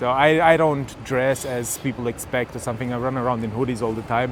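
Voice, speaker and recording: Speaking fairly quickly with a German accent, a man shows ordinary pitch variation. Noticeable background noise runs underneath. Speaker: tech vlogger. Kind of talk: casual chat. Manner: halting, many fillers.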